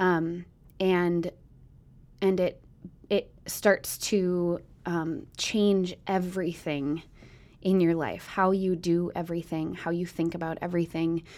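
A woman with an American accent, fairly low in pitch, at a very slow pace with monotone, flat intonation and long, frequent pauses, on a very clean recording with a silent background. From US Midwest. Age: 30s. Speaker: mother and church member. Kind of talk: casual chat.

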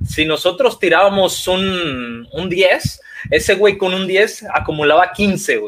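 With a Mexican accent and a high pitch, a man speaks very slowly over noticeable background noise. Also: ordinary pitch variation. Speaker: archery podcast co-host. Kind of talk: casual chat.

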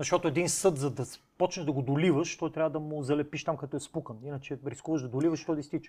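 On a very clean recording with a silent background, a man with a fairly high, dark, mellow and somewhat breathy voice talks at a very fast pace with fairly even intonation. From Bulgaria, Cherven Bryag. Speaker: podcast host. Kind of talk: casual interview.

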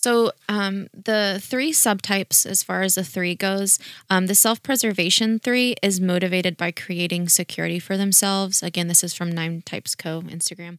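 A woman at medium pitch and moderate pace with fairly even intonation, on a very clean recording with a silent background and dry, close sound free of echo. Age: 20s. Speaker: podcast co-host. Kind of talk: casual chat.

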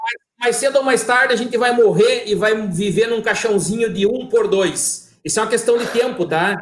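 Here a man speaks in a southern Brazilian accent at a moderate pace. His pitch is extremely high, with ordinary variation. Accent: gaúcho Brazilian Portuguese. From southern Brazil, Rio Grande do Sul (Santo Ângelo). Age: 30s. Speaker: business owner. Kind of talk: live-stream interview. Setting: live video stream.

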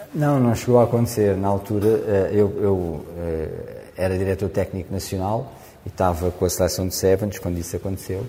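A man's somewhat breathy voice with a dark, mellow tone and fairly low pitch, at a moderate pace with fairly even intonation. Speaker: rugby coach. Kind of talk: interview.

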